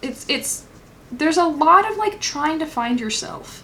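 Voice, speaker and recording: A woman's voice with audible room echo. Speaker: tarot reader. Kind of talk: pick a card tarot reading. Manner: casual, filler-heavy.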